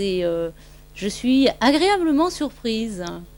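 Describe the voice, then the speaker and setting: A woman with a fairly high pitch at a very slow pace, on a very clean recording with a silent background. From France, Brittany (near Rennes). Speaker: maternity nurse, family member. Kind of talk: casual home video interview.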